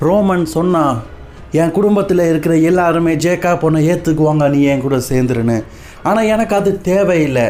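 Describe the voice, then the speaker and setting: Music plays behind a man speaking at a high pitch. His loudness stays very even and his pitch varies in an ordinary way. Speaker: wrestling news narrator and Tamil voice-over translator. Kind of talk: wrestling news narration with Tamil voice-over of a promo.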